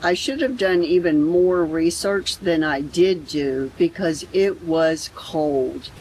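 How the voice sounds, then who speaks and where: A woman speaks very slowly in a fairly low voice with lively intonation over noticeable background noise. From Florida. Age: 60s. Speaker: travel vlogger. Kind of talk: vlog narration.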